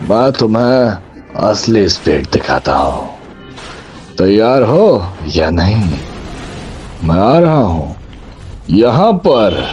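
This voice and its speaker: A man performs a put-on character voice at a fairly low pitch, with very wide pitch swings yet very even loudness. He speaks very slowly with long, frequent pauses over clear background noise. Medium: fan dub. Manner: arrogant, commanding.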